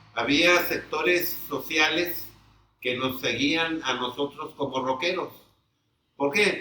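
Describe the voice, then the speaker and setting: A man talks at a very slow pace. His pitch is fairly high and his intonation fairly even. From Mexico, Tepic, Nayarit. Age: 70s. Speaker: veteran rock musician. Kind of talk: interview.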